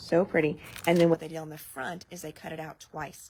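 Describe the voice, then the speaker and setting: A woman's fairly low voice with vocal fry. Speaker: craft product demonstrator. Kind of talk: live product showcase. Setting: live video stream. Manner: casual, chatty.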